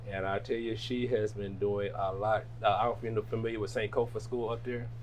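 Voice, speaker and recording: A man's somewhat breathy voice with monotone, flat intonation at a fairly quick pace. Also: medium pitch for a man. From Jackson, Michigan (US Midwest). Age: 60s. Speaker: restaurant owner. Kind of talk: casual interview.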